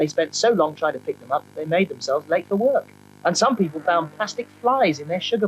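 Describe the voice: The reading aloud is plain, but the intonation stays lively.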